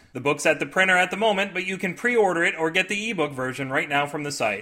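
This man's voice sits high in pitch, animated in tone, with ordinary pitch variation. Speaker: podcast host and fiction writer. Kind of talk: scripted comedic storytelling. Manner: animated, jokey, comedic.

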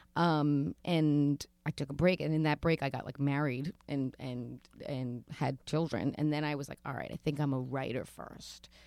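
A woman's very deep, low voice at a moderate pace with hardly any pauses, dry and close with no echo, on a very clean recording with a silent background. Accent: New York. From New York City (Queens). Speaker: author and storyteller. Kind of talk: casual interview. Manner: animated.

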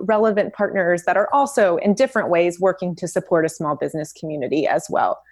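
A plain, everyday voice with an American accent, lively intonation and a fairly quick pace. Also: woman. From US South, Memphis, Tennessee. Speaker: partnerships manager at a packaging company. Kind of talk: interview.

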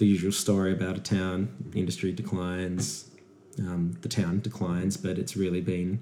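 This man speaks with an Australian accent. His very deep, low voice has a dark, mellow tone. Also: ordinary pitch variation, moderate pace. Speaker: podcast host. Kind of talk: casual chat.

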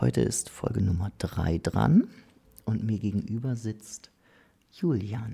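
Someone speaks at a very slow pace in a dark, mellow tone with vocal fry, leaving long, frequent pauses. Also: man, fairly low pitch for a man, ordinary pitch variation. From northern Germany. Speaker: podcast host. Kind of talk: casual interview. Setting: studio, face to face.

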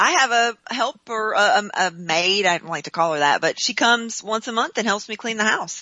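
A woman's plain, everyday voice, fairly high-pitched, with lively intonation at a moderate pace. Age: 50s. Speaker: homeschooling mom and marketing specialist. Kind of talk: interview. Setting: phone call.

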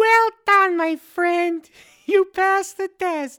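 A put-on character voice, squeaky and extremely high in pitch. It moves at a very slow pace. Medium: actual play. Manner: theatrical, fickle.

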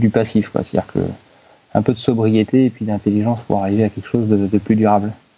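The man's pitch is fairly low and his tone dark and mellow. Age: 30s. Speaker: HR company director. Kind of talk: interview. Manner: halting, frequent repetitions.

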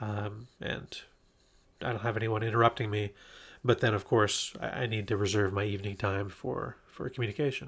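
A man talks at a moderate pace with fairly low pitch, in a normal speaking voice. The recording is very clean, with a silent background. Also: fairly even intonation. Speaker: remote work expert, guest. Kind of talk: casual interview chat. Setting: recording in person, shared microphone.

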